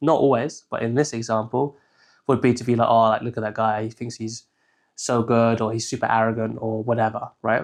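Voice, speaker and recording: Against a quiet background, someone with an English accent speaks fairly quickly in a monotone, flat intonation. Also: man, medium pitch for a man. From southern England. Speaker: shadow work consultant. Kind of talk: tutorial. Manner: casual, filler-heavy.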